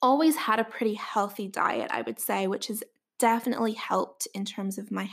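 Speaking at a moderate pace, a woman has a Northern Irish accent. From Northern Ireland. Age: 20s. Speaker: dietitian and podcast host. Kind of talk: scripted-style solo podcast introduction.

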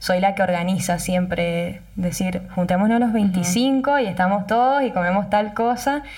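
A somewhat breathy woman speaks at a fairly slow pace with ordinary pitch variation. Audible room echo fills the recording. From Argentina, Mendoza (Tupungato). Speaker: wine festival queen, journalist. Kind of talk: casual interview.

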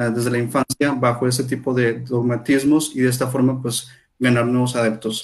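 In a monotone, flat delivery, a man speaks at medium pitch. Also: moderate pace. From Monterrey, northern Mexico. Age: 30s. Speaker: psychologist and project manager. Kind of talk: casual discussion. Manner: halting, frequent fillers.

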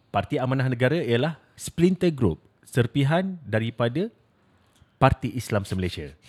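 Speaking at a fairly slow pace, a man swings his pitch very widely. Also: medium pitch for a man. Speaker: podcast co-host. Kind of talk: casual chat.

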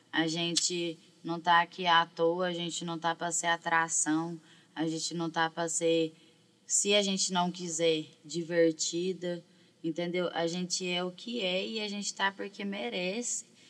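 A woman talks at a fairly slow pace in a fairly low pitch, with an unremarkable speaking voice. Her intonation stays fairly even. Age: 20s. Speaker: rapper and songwriter. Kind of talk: casual chat.

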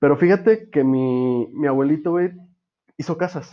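With a Mexican accent, a man speaks at a moderate pace and ordinary pitch variation. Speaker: podcast host. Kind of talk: casual chat.

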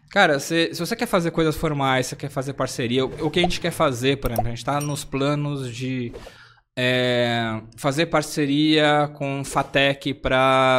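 With an ordinary speaking voice, a man talks at medium pitch and ordinary pitch variation in a very clean recording with a silent background. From São Paulo, Zona Leste (Sapopemba). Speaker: UX design consultancy CEO and association president. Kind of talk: casual chat. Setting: live-streamed podcast.

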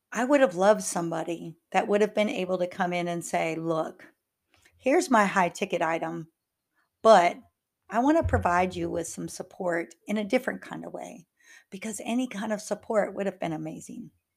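Speaking at a moderate pace and medium pitch, a woman shows vocal fry and big swings in loudness. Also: ordinary pitch variation, very clean recording, silent background. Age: 50s. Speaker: life coach and podcast host. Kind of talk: solo podcast monologue.

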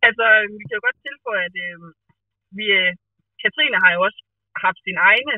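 At a moderate pace, the speaker uses lively intonation with big swings in loudness and long, frequent pauses. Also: woman. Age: 20s. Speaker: podcast guest. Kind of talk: casual chat. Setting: phone call.

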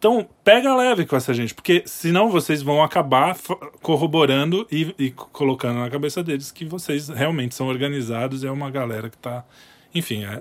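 Using an ordinary speaking voice, a man talks at a moderate pace. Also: fairly high pitch for a man, lively intonation. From Brazil. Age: 30s. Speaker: podcast producer. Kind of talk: casual political discussion.

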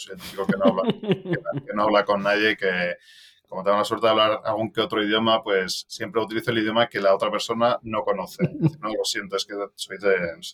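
The speech rushes at a very fast pace, with lively intonation and big swings in loudness. The sound is dry and close, with no echo. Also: man. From Madrid, Spain, raised partly in Belgium. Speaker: venture capital investor. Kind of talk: casual interview.

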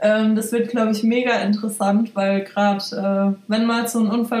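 Fairly high-pitched female voice, flat and monotone, at a moderate speed. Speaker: hairdresser. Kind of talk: casual chat.

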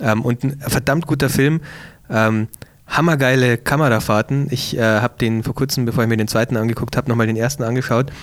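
At a medium pitch and very even loudness, a man speaks in a normal speaking voice. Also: fairly even intonation, fairly quick pace. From Bavaria, Ingolstadt. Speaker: podcast co-host and photographer. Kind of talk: casual chat.

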